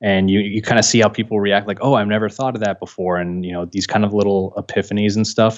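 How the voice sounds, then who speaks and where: This man, with an American accent, talks at a very fast pace with hardly any pauses. His pitch is fairly low and his intonation is monotone and flat. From San Francisco, US West Coast. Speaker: political YouTuber. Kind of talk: interview.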